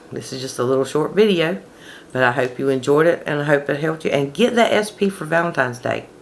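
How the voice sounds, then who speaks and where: Over noticeable background noise, a woman with a very deep, low pitch talks at a very fast pace with lively intonation. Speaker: manifestation coach. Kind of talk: casual talk to camera. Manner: conversational.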